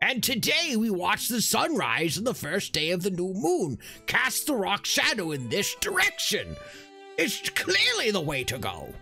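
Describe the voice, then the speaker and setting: Backed by clear music in the background, a put-on character voice at a middle pitch moves along at a moderate pace. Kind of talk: comic fantasy character voice. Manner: excited, brusque, insulting.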